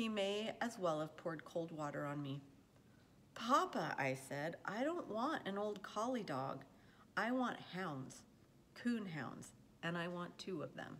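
Her pitch fairly low yet swinging very widely, a woman speaks at a fairly slow pace over light background noise. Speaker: reader of a children's novel. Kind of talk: read-aloud storytelling. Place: home room. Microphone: phone near.

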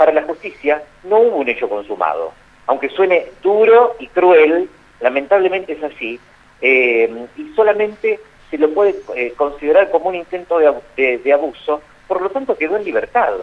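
A man with a Rioplatense accent speaks at a moderate pace in a high voice, his pitch swinging very widely. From Argentina, Baradero. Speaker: journalist. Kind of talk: phone interview. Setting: phone call. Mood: serious, measured. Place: studio.

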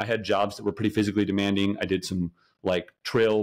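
A man with an American accent and a fairly low pitch, talking at a fairly quick pace on a very clean recording with a silent background. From Colorado. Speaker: salesperson sharing food journey. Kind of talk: casual podcast interview.

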